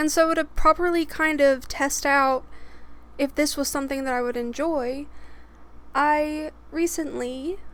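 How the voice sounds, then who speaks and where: Noticeable background noise sits behind speech with long, frequent pauses. The pace is fairly slow and the intonation fairly even. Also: woman, high pitch for a woman. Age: 20s. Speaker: storytime YouTuber. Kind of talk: casual storytelling monologue.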